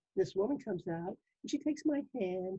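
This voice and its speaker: At a moderate pace, the pitch swings very widely. There is a somewhat breathy quality to the voice. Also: woman. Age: 70s. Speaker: pulmonary rehab graduate living with lung disease. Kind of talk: interview.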